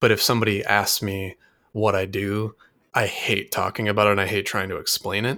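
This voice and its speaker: Speaking fairly quickly in an American accent, a man uses a fairly low pitch, monotone, flat intonation and a bright, sharp tone on a very clean recording with a silent background. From Michigan. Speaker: podcast host, web developer. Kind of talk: casual chat.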